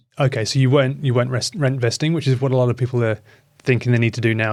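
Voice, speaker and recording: Very fast and fairly even in intonation, a man talks in a British accent at a medium pitch. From UK. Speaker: podcast host. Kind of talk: podcast interview.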